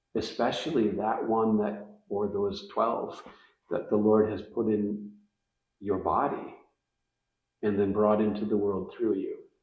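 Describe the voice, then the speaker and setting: A man at a fairly slow pace, with long, frequent pauses and audible room echo. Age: 60s. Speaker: faith-based parenting guest. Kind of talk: casual interview chat.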